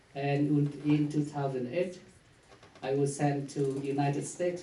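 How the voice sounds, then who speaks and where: A man speaks at a moderate speed, and the room's echo is audible. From Vietnam. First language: Vietnamese. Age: 40s. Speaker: priest. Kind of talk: conference talk. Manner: halting.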